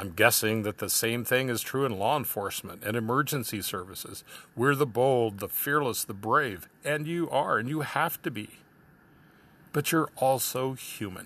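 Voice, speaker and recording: At a moderate pace and medium pitch, a man with an ordinary speaking voice shows ordinary pitch variation on a very clean recording with a silent background. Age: 60s. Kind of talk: reflective monologue.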